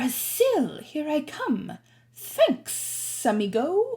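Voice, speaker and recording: In a put-on character voice, the speaker talks at a very slow pace in a high pitch with very wide pitch swings and hissing. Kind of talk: casual, friendly.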